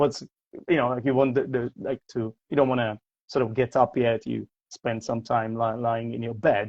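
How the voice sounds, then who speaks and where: Speaking at a moderate pace with a slight non-native accent, a man keeps a medium pitch and a monotone, flat intonation. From Czech Republic, Prague. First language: Czech. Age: 40s. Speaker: English teacher. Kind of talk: casual interview. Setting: livestream video call. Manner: halting, many repetitions.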